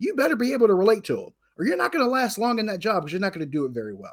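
A man's high-pitched voice with very wide pitch swings, on a very clean recording with a silent background. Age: 40s. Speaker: sports radio and TV personality. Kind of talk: casual sports talk.

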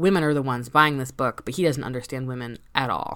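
Over a very clean recording with a silent background, a woman speaks at a very deep, low pitch with fairly even intonation. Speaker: podcast co-host. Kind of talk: casual chat.

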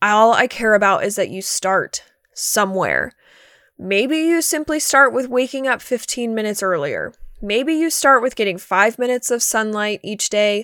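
On a very clean recording with a silent background, a woman with a fairly high pitch speaks at a moderate pace in a bright, sharp tone with lively intonation. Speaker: fitness coach and podcast host. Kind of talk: pep talk. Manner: earnest, motivational; direct tough-love, encouraging.

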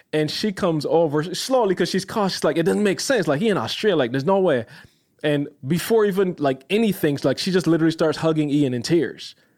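Speaking at a fairly quick pace, a man has a high pitch and an animated tone. His intonation is lively and his loudness very even. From Barbados. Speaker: video editor and content creator. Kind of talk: casual interview, storytelling.

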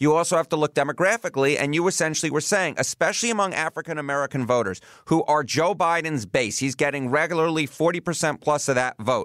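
Talking at a very fast pace with hardly any pauses, a man with a New York accent keeps very even loudness at a fairly high pitch with ordinary pitch variation, in a dry, close sound with no echo. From New York City. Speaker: podcast host. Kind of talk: political discussion podcast.

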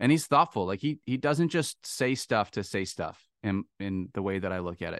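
Fairly low in pitch, a man with an American accent is heard in a dry, close sound with no echo against a quiet background. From Michigan (Midland). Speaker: fantasy football podcast host. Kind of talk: casual chat.

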